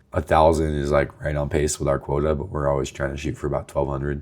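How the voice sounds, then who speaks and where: Noticeable background noise sits behind this recording. A man speaks with a very deep, low pitch. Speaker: agency founder vlogger. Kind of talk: casual video journal. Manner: casual with many fillers.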